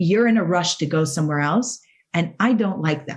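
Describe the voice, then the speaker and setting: A woman with a fairly low pitch speaks with lively intonation and a somewhat breathy quality. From outside the US. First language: not English. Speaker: cancer survivor and motivational speaker. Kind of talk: podcast interview. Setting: studio.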